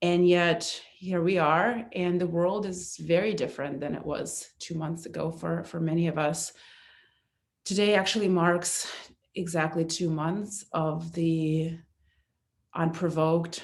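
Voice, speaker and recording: In a Russian accent, a woman speaks at a fairly low pitch. Audible room echo surrounds her voice. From eastern Ukraine (Kharkiv). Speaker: aid organization volunteer. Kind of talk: testimony. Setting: church. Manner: halting.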